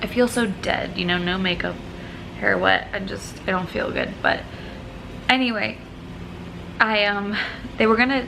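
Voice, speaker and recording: A woman mumbles at a moderate pace with fairly even intonation and long, frequent pauses. Background noise is noticeable, and room echo is audible. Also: medium pitch for a woman. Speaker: vlogger. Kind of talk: personal vlog. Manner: mumbling.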